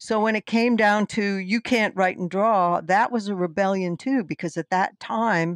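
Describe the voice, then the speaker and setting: A woman with an American accent speaks at a fairly slow pace in a normal speaking voice, medium in pitch with ordinary pitch variation, the sound dry with no echo over a quiet background. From US mid-Atlantic, Brandywine valley (Delaware/Pennsylvania); US mid-Atlantic. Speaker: fantasy author and illustrator; guest. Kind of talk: interview. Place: home room. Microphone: headset.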